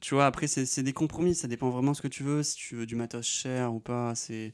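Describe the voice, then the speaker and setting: A man at a medium pitch and moderate pace, fairly even in intonation, dry and close with no echo, on a very clean recording with a silent background. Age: 20s. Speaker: drone pilot YouTuber. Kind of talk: Q&A video. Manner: casual.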